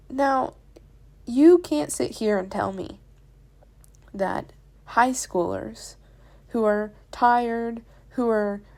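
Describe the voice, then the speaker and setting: Speaking at a very slow pace, a woman with a fairly high pitch talks in a Southern US accent. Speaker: drawing YouTuber. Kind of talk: casual voiceover talk while drawing. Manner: rambling, conversational.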